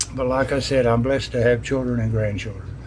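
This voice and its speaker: A man at medium pitch with an American accent and fairly even intonation, amid noticeable background noise and audible room echo. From US South, East Tennessee (Johnson City). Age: 80s+. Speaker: business owner. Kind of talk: interview. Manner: halting, repeats words.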